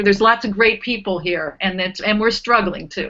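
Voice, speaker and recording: A woman speaks at a fairly quick pace against a quiet background. She has an unremarkable speaking voice with ordinary pitch variation. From Cleveland, Ohio, US Midwest; raised from teens in North Carolina. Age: 50s. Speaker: nonprofit fund director; panelist. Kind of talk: panel discussion. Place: home room. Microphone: video call.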